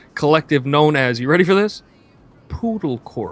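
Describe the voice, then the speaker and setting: Speaking with an American accent, a man's voice sits fairly high in pitch. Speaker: gaming stream co-host. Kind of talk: casual chat. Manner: animated.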